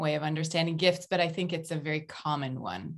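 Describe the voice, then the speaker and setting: A woman with an American accent speaks in a normal speaking voice, pitched fairly low. Her pitch varies in an ordinary way over a quiet background. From United States. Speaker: author and organizational consultant. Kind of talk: interview conversation.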